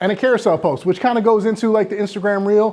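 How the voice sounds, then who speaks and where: A man's dark, mellow voice races along at a very fast pace. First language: not English. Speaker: real estate marketing speaker. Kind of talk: live presentation to an audience. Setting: stage with live audience. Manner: casual, filler-heavy with many uh and restarts.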